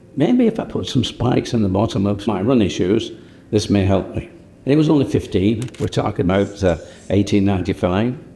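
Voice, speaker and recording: Man with a Lancashire accent, fairly low in pitch, at a moderate pace with lively intonation. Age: 80s+. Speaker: company co-founder. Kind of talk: documentary interview.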